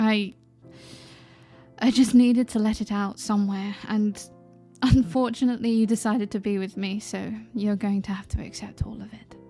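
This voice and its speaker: Over music in the background, a woman with a British accent and a fairly high pitch speaks at a moderate pace in a monotone, flat intonation, her loudness swinging widely and her pauses long and frequent. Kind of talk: ASMR roleplay. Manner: vulnerable, emotional.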